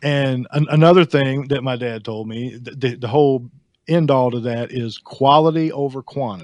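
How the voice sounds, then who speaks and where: Speaking with a Southern US accent, a man keeps a medium pitch, ordinary pitch variation and a moderate pace. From US South. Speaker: house painter. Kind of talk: casual chat.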